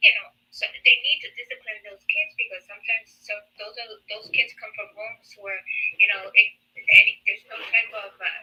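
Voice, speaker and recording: Her loudness swings widely as a woman talks at a fairly quick pace. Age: 60s. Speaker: caller. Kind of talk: live debate call-in. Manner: halting.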